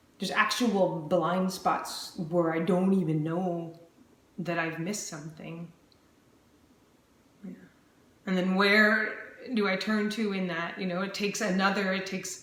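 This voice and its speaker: Over noticeable background noise and audible room echo, a woman speaks at medium pitch in a calm tone, with monotone, flat intonation, a fairly slow pace, and long, frequent pauses. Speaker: vlogger sharing chronic illness journey. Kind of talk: personal video diary. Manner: slightly slurred speech; calm, still.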